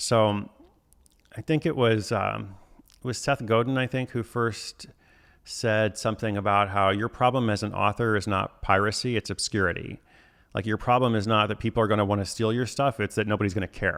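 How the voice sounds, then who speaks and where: In a very clean recording with a silent background, a man with a fairly low pitch speaks at a fairly quick pace with fairly even intonation in an unremarkable speaking voice. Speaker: author and livestream host. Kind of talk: live stream chat with viewers. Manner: casual, many fillers.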